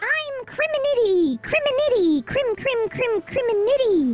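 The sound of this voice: Squeaky and extremely high, a put-on character voice moves at a moderate pace.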